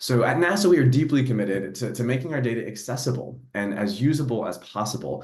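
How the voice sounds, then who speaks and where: Speaking very fast with lively intonation, a man with a medium-pitched voice is heard over noticeable background noise and audible room echo. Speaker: NASA program executive for data. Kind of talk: panel discussion.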